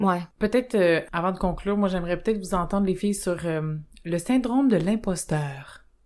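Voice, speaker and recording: A woman with a Quebec accent talks at a medium pitch with ordinary pitch variation in a very clean recording with a silent background. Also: moderate pace. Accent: Québécois French. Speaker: podcast co-host, sexologist. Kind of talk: casual chat.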